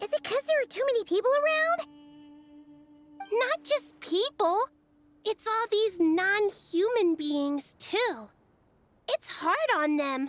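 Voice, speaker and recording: In a put-on character voice, a female-sounding speaker goes at a fairly slow pace with long, frequent pauses, an extremely high pitch and very wide pitch swings. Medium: video game. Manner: lively, chatty.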